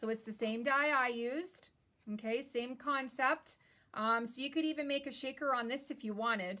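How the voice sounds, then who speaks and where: A woman uses a raised, projected voice at a high pitch. Her tone is bright and sharp, and her pace is moderate. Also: ordinary pitch variation. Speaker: card-making crafter. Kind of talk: live-stream tutorial.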